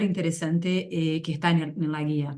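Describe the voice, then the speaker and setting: Talking at a fairly quick pace, a woman speaks with a Brazilian accent. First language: Portuguese (speaking Spanish). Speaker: NGO executive director. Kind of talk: webinar presentation.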